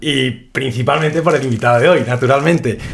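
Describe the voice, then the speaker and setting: Pitch moves with ordinary variation, and the pace runs fairly quick. It is an ordinary speaking voice. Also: man. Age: 20s. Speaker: podcast host. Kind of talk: casual interview.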